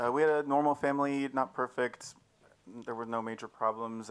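Here a man speaks at a moderate pace. His intonation stays fairly even. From Texas. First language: English (speaking Czech). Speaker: church member giving testimony; speaker. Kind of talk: testimony. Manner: halting. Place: tent. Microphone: handheld.

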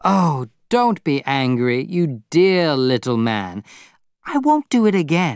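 A man's put-on character voice, fairly high with big pitch swings and a clear, smooth tone, at a slow pace, dry and close with no echo, on a very clean recording with a silent background.

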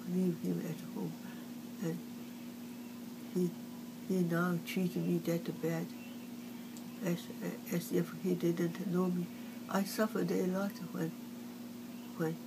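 Against noticeable background noise, a woman talks at a very slow pace. She leaves long, frequent pauses. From China. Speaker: artist. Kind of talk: oral history interview answer. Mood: upset, aggrieved. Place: home room. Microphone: phone near.

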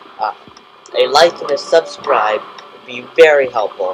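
A man's speech comes at a fairly slow pace. Background noise is noticeable throughout. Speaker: gaming youtuber. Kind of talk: let's play commentary. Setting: home recording without headphones. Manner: halting, many fillers.

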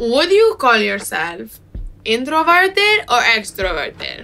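Slowly and with big pitch swings, a woman puts on a character voice that is fairly high in pitch, bright and sharp in tone, with vocal fry.

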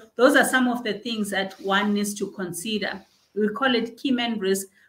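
A woman speaks at a moderate pace with fairly even intonation. Her voice is somewhat breathy. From South Africa. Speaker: bank executive and chartered accountant; guest. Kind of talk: interview. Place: office. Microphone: webcam.

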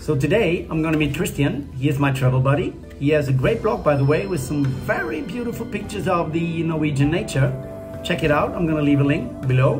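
A man speaks at a very fast pace with ordinary pitch variation. Clear music plays in the background. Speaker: travel vlogger. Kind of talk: casual vlog chat. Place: home room. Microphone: phone near.

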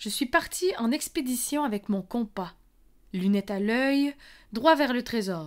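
A woman speaks very slowly in a playful tone with lively intonation on a very clean recording with a silent background. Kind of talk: spoken word poetry, performed. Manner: lyrical, playful and childlike, turning wistful.

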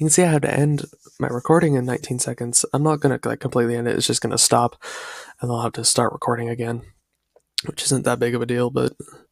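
Against a quiet background, a man talks very fast with fairly even intonation in a dry sound with no echo. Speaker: youtuber. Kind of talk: casual reaction vlog chat. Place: home room. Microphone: headset.

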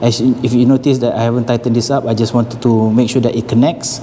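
With light background noise, a man at a medium pitch rushes through at a very fast pace in a monotone, flat intonation. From Malaysia. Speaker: fitness equipment seller and vlogger. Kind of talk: tutorial vlog. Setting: gym showroom, working alone. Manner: casual, hesitant with fillers. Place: gym. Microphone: lapel.

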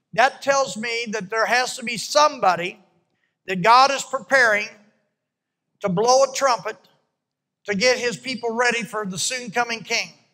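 A man with a bright, sharp tone uses a raised, projected voice and ordinary pitch variation against a quiet background. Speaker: preacher. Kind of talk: sermon. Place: church. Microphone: handheld.

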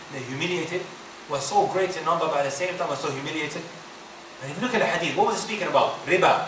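A man's high voice at a very fast pace, with ordinary pitch variation, audible room echo and light background noise. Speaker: Islamic teacher. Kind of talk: religious lecture. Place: hall. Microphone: podium.

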